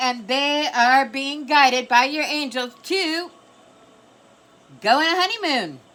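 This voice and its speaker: A woman projects a raised voice at a high pitch with lively intonation. Background noise is noticeable. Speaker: tarot reader. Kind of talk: tarot reading. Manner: loud; casual, frequent okay fillers.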